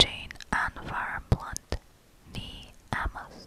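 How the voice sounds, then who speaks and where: A woman whispers. Her voice is breathy. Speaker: ASMR creator. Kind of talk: ASMR Wikipedia reading. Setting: close-up condenser microphone recording. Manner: whispered, soft, breathy. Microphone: studio mic.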